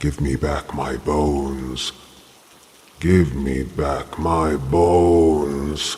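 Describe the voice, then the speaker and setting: A man's very deep, low put-on character voice at a very slow pace. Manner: weird, spooky, eerie.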